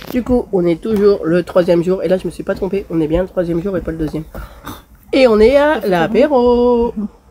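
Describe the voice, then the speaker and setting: Over noticeable background noise, a woman talks at a moderate pace with lively intonation. Her pitch is medium. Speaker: car tuning vlogger. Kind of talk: casual vlog. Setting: indoor car show hall. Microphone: no mic, batteries not charged.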